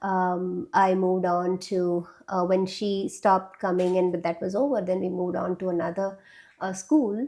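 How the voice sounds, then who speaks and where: A woman with a Keralan accent speaks at a fairly slow pace and medium pitch. Her tone is dark and mellow, with fairly even intonation. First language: Malayalam. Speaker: classical dancer and dance teacher. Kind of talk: interview. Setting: studio. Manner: hesitant, with many fillers.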